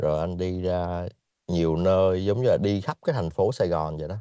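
The tone is dark and mellow, at a fairly slow pace. Pitch varies in an ordinary way. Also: man. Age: 30s. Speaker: guest sharing life story. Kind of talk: casual chat.

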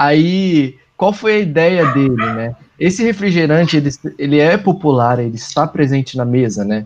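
A man's fairly high voice in a Brazilian accent, with lively intonation at a moderate pace. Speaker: advertising professional. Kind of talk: casual podcast chat.

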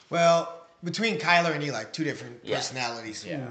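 A man speaks with lively intonation, noticeable background noise running beneath him. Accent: American. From Waterloo, Iowa. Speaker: father, former wrestler, coach. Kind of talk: interview, casual chat.

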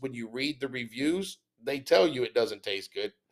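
Speaking at a fairly slow pace with a Texan accent, a man uses lively intonation. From Texas. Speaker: podcast host. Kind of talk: casual chat. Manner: animated.

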